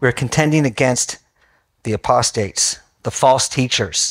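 In a quiet setting, a man talks at a medium tempo. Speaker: bible study teacher. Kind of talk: sermon. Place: hall.

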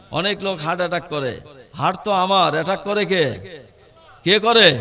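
Audible room echo and noticeable background noise surround a man speaking with lively intonation. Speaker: Islamic preacher. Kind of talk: sermon. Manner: loud, rousing with crowd call-and-response.

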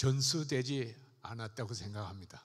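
A man speaks at a fairly slow pace, somewhat breathy. The background is quiet. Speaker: church elder. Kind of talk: congratulatory speech. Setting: church. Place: church. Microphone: handheld.

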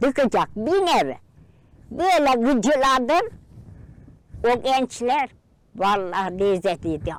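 Speaking at a very slow pace with long, frequent pauses, a woman uses a high pitch and very wide pitch swings. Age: 80s. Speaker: traditional throat-playing folk musician. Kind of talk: interview answer.

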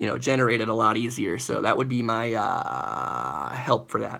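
A man speaks with a bright, sharp tone and some vocal fry.

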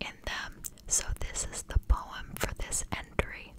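At a fairly slow pace, a woman speaks in a whisper. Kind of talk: devotional reading with commentary, ASMR. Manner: whispered, slow, soft. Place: home room. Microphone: studio mic.

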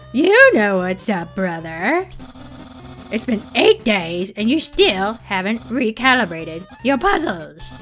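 Over clear music in the background, a speaker uses a put-on character voice at a fairly high pitch and a fairly slow pace. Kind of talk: casual gaming commentary. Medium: read story. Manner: loud, boastful.

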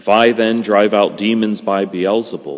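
Over a quiet background, a man with a normal speaking voice and fairly low pitch talks at a moderate pace. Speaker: priest. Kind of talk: liturgical scripture reading. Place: church.

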